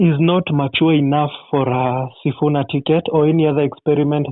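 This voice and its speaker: A man talks in a monotone with flat intonation. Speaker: caller. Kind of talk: call-in political opinion. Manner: halting with fillers.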